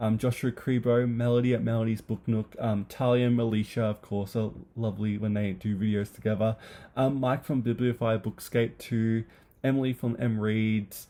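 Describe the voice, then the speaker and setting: In an Australian accent, a man speaks with a monotone, flat intonation. His loudness stays very even. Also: medium pitch for a man, moderate pace. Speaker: booktuber. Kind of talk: casual chat. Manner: hesitant, many fillers.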